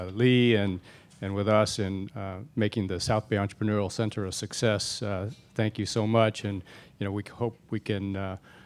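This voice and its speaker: Flat, monotone intonation from a man with a fairly low voice, at a moderate pace. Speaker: panel moderator. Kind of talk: event opening remarks. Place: hall. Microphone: handheld.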